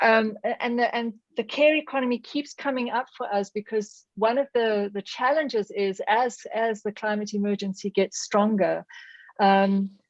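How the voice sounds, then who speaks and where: A woman's fairly high voice with a South African accent and ordinary pitch variation, dry and close with no echo against a quiet background. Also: moderate pace. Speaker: audience participant in academic webinar. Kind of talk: discussion question. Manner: halting, many fillers and restarts.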